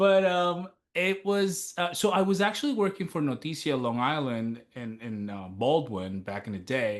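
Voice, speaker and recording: Against a quiet background, the speaker keeps a moderate pace with hardly any pauses and very wide pitch swings. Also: man, fairly high pitch for a man. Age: 30s. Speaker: TV news reporter and author. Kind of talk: interview. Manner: casual, filler-heavy.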